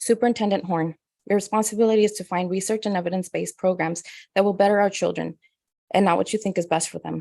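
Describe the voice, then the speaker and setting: A woman's very fast, monotone delivery with flat intonation at a medium pitch, with a Spanish accent, against a quiet background. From Spanish-speaking country. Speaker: parent speaking at public comment. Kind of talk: prepared public comment. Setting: board meeting.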